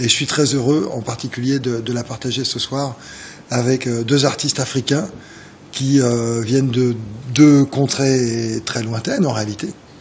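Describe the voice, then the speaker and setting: A man's medium-pitched voice with a Parisian accent, fairly slow and fairly even in intonation, over noticeable background noise. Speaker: jazz organist. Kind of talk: TV interview. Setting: TV studio. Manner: halting, many hesitations.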